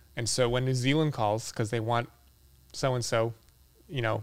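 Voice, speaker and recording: A man with a Boston accent at a fairly quick pace, medium in pitch and fairly even in intonation, on a very clean recording with a silent background. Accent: Boston American. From Boston, US. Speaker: architectural photographer. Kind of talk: casual interview conversation.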